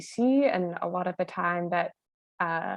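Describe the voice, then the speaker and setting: A woman speaks at a fairly slow pace with a Canadian accent. She has an unremarkable speaking voice. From British Columbia, Squamish Nation. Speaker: journalist. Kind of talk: panel talk.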